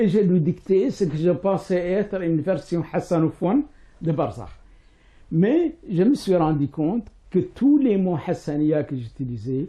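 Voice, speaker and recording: In a Mauritanian accent, a man speaks with a high pitch and a dark, mellow tone. His pace is fairly slow and his intonation lively. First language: Hassaniya Arabic (speaking French). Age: 60s. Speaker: writer and professor. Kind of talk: interview. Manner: hesitant, many fillers.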